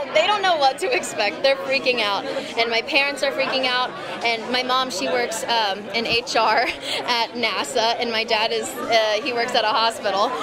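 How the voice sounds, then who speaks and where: A woman with an American accent talks at a moderate pace amid noticeable background noise. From Texas, Houston. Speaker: actress. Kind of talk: interview. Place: hall. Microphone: handheld.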